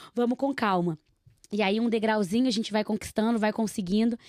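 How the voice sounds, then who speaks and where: In a fairly high voice and at a fairly quick pace, a woman speaks with a Minas Gerais accent on a very clean recording with a silent background and a dry, close sound with no echo. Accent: mineiro. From Minas Gerais, Brazil (Nova Lima). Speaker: podcast host. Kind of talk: casual chat.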